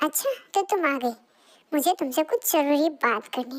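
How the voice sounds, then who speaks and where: A woman's put-on character voice, high-pitched, with lively intonation at a moderate pace. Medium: read story. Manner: stern, commanding.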